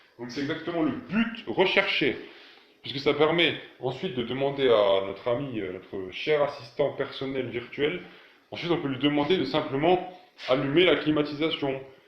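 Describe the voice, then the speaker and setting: A man talks with lively intonation. Audible room echo and noticeable background noise surround his voice. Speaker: DIY tech YouTuber. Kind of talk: tutorial. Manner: fast; hesitant, many fillers.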